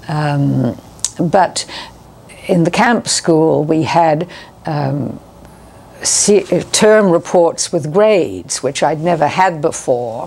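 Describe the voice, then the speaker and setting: A woman speaks very slowly in a very deep, low voice with lively intonation and long, frequent pauses. Noticeable background noise comes through behind her. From New Zealand. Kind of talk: interview answer.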